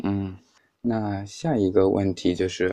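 Against a quiet background, a man talks at a fairly slow pace with a fairly low pitch and monotone, flat intonation. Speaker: podcast host. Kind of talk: casual chat.

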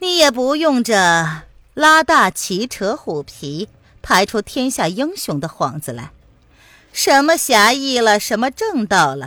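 A woman's put-on character voice, fairly high and bright, sharp in tone, with big pitch swings at a fairly slow pace.

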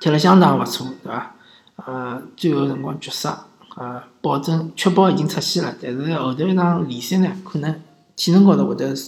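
Speech in a Shanghai accent at a moderate pace, with noticeable background noise. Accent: Shanghainese-accented Mandarin. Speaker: sports podcast host. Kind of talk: casual commentary. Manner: halting, many fillers.

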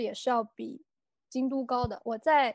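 A woman with a high pitch and ordinary pitch variation is heard in a very clean recording with a silent background. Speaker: former shop assistant in Japan. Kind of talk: casual chat. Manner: hesitant, many fillers.

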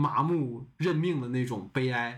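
There is some breathiness in a man's voice. His intonation is lively. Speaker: podcast host and moderator. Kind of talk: casual chat. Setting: remote online recording.

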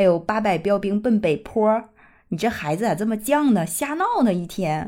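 In a very clean recording with a silent background, a woman speaks at a moderate pace with lively intonation. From Northeast China. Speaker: podcast host. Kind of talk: casual monologue.

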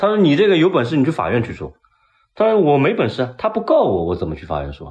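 Talking at a very fast pace, a man sounds animated, with big swings in loudness. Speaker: painter. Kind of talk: casual chat.

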